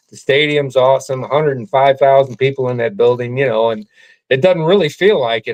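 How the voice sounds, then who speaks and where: He has an unremarkable speaking voice with an American accent. His pitch is fairly high for a man. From US Midwest, St. Louis. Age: 60s. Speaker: sports fan. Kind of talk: casual interview.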